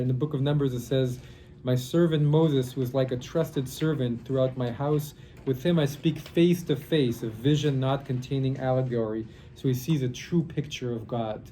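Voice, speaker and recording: With a somewhat breathy voice, a man speaks at a medium pitch and a moderate pace, his intonation fairly even, in audible room echo. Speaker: rabbi teaching a Kabbalah class. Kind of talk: lecture. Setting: classroom workshop, recorded for online. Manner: halting.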